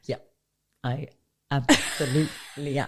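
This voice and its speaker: A woman with a very deep, low voice and an animated tone, with an Irish accent, on a very clean recording with a silent background. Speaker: podcast co-host. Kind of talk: casual chat. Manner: loud; animated, laughs a lot.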